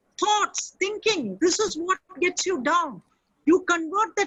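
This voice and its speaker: A fairly slow pace in a Keralan accent, with ordinary pitch variation. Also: woman. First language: Malayalam. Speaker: motivational speaker. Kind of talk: webinar talk and Q&A. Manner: animated.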